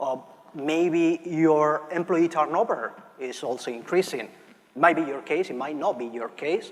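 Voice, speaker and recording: In a Barcelona accent, a man talks at a fairly slow pace with a fairly high pitch, ordinary pitch variation, and big swings in loudness. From Spain, Barcelona. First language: Spanish. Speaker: market research analyst. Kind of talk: conference presentation. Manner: frequent fillers and restarts.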